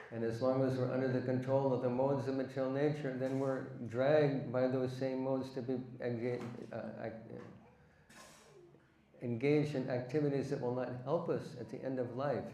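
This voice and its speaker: With noticeable background noise and audible room echo, a man at a medium pitch speaks in a monotone, flat intonation at a moderate pace, leaving long, frequent pauses. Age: 70s. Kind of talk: religious discourse.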